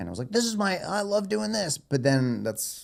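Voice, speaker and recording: Someone with an American accent speaks at a moderate pace with very wide pitch swings. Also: man. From Florida, Fort Lauderdale. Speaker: reality TV contestant. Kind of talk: casual chat.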